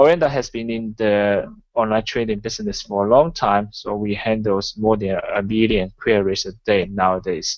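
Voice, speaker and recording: A man's fairly low voice at a moderate pace, with hardly any pauses and ordinary pitch variation. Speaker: forex trader and webinar presenter. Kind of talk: online webinar presentation. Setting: online webinar. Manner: halting, with many fillers.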